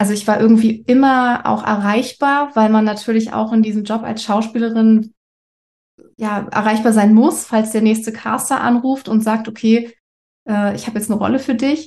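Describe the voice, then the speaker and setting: The woman's voice is somewhat breathy. Her intonation stays monotone and flat. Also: fairly high pitch for a woman, moderate pace. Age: 30s. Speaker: actress with breast cancer. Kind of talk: interview. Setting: video call.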